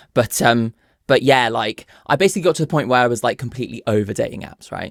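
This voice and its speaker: Speaking very fast with lively intonation, a man with a southern English accent uses a medium pitch and vocal fry, recorded dry and close with no echo. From southern England (Bournemouth). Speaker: content creator, podcast guest. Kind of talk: casual storytelling. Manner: hesitant, many fillers.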